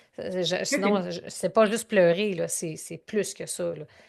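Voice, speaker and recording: A woman's medium-pitched voice with a Canadian French accent. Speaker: growth strategy consultant and speaker. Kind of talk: interview answer. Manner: emotional, conversational.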